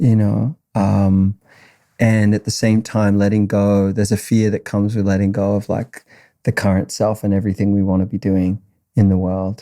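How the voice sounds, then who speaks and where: With an Australian accent, a man speaks in a fairly low pitch and a dark, mellow tone, his intonation flat and monotone and his loudness very even, on a very clean recording with a silent background and a dry, close sound with no echo. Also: moderate pace. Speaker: musician. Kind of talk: casual chat.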